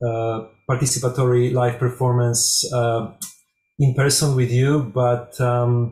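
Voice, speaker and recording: With music in the background, a man in a Polish accent speaks fairly slowly at a medium pitch, his intonation monotone and flat. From Poland. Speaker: music researcher and performer. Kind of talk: conference presentation.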